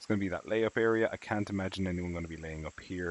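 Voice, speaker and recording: In an Irish accent, a man with a very deep, low pitch speaks at a very fast pace with fairly even intonation. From Ireland, southwest coast. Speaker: video game streamer. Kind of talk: live-stream commentary. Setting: live stream. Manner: casual, with many fillers.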